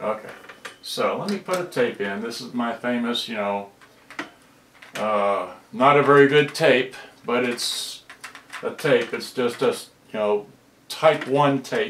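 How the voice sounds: Audible room echo surrounds a fairly bright voice that moves at a slow pace with ordinary pitch variation and long, frequent pauses. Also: man, medium pitch for a man.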